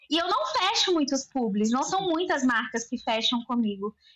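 A woman's high-pitched voice at a moderate pace. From Brazil, Belo Horizonte (Minas Gerais). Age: 20s. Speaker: journalist and business owner. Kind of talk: casual interview chat.

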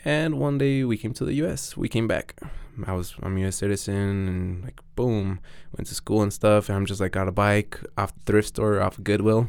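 On a very clean recording with a silent background, a man with a Mexican accent speaks at a moderate pace and a fairly low pitch. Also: ordinary pitch variation. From Mexico. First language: Spanish. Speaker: BMX rider. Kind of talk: casual chat. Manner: halting.

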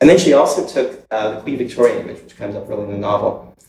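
A man talks at a very fast pace, his voice carrying audible room echo. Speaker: artist, writer and cultural organizer. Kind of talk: recorded dialogue before a small live circle. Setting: university room with a small audience. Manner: conversational, frequent tag questions.

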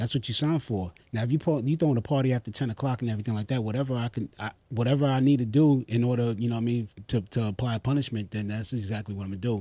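Talking at a very fast pace, a man with an American accent has a dark, mellow tone at medium pitch with ordinary pitch variation. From Queens, New York. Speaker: podcast host. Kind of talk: casual chat.

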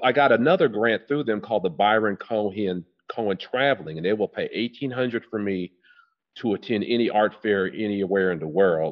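A man with an American accent speaks at a fairly quick pace in an ordinary speaking voice. His pitch is fairly low, with ordinary pitch variation. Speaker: artist, retired teacher. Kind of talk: interview, casual chat. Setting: studio.

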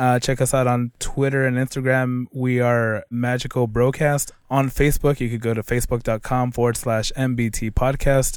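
A man speaks in a monotone at medium pitch and a moderate pace. He barely pauses, keeping his intonation flat throughout. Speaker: podcast host and interviewer. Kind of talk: interview. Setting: convention.

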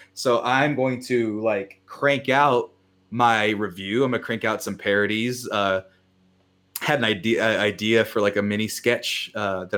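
Recorded very cleanly against a silent background, a man speaks in a normal speaking voice at a medium pitch with fairly even intonation. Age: 20s. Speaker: film critic. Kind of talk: casual chat. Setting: studio.

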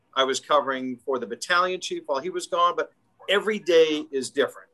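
With a Chicago accent, a man talks fairly quickly in a bright, sharp tone, his intonation lively and his pitch fairly high, the sound dry and close with no echo. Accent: Chicago-area American. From Illinois, Chicago northwest suburbs. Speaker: fire department division chief. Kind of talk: interview.

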